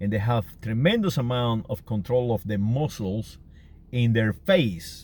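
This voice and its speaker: A man speaks with a Canary Islands accent at a fairly slow pace. His pitch varies in an ordinary way. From Canary Islands, Spain. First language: Spanish. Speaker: vlogger. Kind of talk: casual monologue. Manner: halting, many fillers and repetitions.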